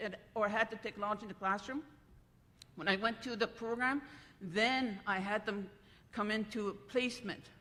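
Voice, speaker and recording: A woman's fairly high-pitched voice in a bright, sharp tone, at a moderate pace with fairly even intonation. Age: 60s. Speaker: retired language teacher. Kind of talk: conference panel talk. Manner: halting.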